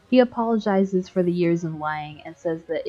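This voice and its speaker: The pitch moves with ordinary variation. Music can be heard in the background. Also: woman. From Canada. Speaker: video game YouTuber. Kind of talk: video essay narration.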